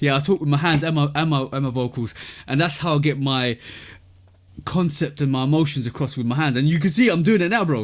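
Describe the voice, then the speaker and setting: On a very clean recording with a silent background, a man with a fairly high pitch speaks in an animated tone at a very fast pace. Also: ordinary pitch variation. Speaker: sneaker podcast co-host and reviewer. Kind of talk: casual chat. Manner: repetitive, stammering.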